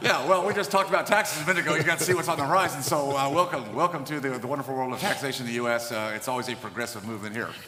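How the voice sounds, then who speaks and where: A man talks very fast, with hardly any pauses and lively intonation at a fairly high pitch. Noticeable background noise can be heard. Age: 60s. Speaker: podcast host, dentist. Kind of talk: podcast interview.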